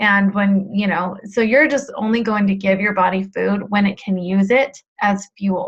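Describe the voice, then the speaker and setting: At a fairly slow pace and with fairly even intonation, a woman's somewhat breathy voice comes through. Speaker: weight loss coach. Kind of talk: webinar coaching talk. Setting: live webinar.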